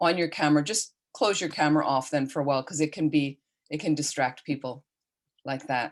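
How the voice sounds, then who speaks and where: A quiet background behind a woman's very deep, low-pitched voice. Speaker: Buddhist nun and teacher. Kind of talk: online dharma teaching. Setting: video call.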